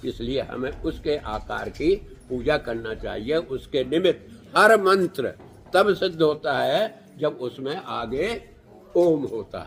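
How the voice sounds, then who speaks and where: Vocal fry runs through this man's fairly high voice. His intonation is lively, and his loudness swings a lot. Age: 80s+. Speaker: spiritual teacher. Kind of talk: spiritual talk.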